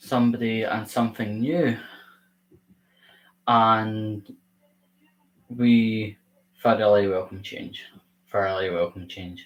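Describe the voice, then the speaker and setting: This man talks at a very slow pace with long, frequent pauses, his fairly low pitch held in fairly even intonation. His loudness swings widely. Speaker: YouTuber hosting a livestream. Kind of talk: casual livestream talk. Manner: robotic; halting.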